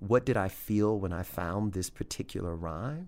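This man talks fairly slowly in a Louisiana accent. His pitch sits fairly low, with ordinary variation. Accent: Southern US (Louisiana). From US South, Louisiana. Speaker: poet. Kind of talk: interview. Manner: chatty.

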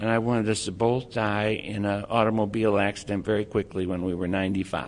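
Speaking at a moderate pace with an American accent, a man uses a fairly low pitch and monotone, flat intonation. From Texas. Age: 60s. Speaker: person with Alzheimer's, advocate. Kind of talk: speech and interview.

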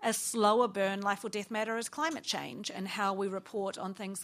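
Woman's medium-pitched voice in a New Zealand accent, in a very clean recording with a silent background. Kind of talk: panel discussion. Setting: stage with live audience.

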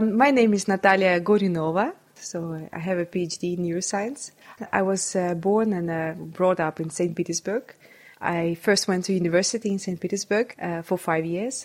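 Speaking in a Russian accent, a woman keeps a moderate pace. Her pitch sits in the medium range and varies in an ordinary way. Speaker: neuroscientist. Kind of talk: interview.

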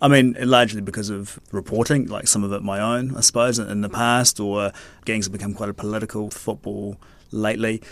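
Speaking at a fairly quick pace with a New Zealand accent, a man with a fairly low pitch keeps a monotone, flat intonation in a very clean recording with a silent background. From New Zealand, Tauranga. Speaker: investigative journalist. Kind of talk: casual chat. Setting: studio.

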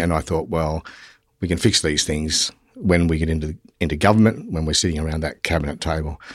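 A man with a very deep, low pitch talks at a fairly quick pace in an Australian accent. The recording is very clean with a silent background. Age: 50s. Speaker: politician. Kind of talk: interview.

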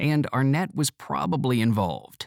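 A man with an unremarkable speaking voice and lively intonation, in a dry, close sound with no echo on a very clean recording with a silent background. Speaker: audio reader of articles. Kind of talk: reading aloud article.

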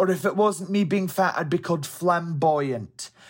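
Using a Scottish accent, a man talks at a high pitch with lively intonation. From Scotland, Helensburgh. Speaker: interview guest. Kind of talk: interview. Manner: halting, some repetitions.

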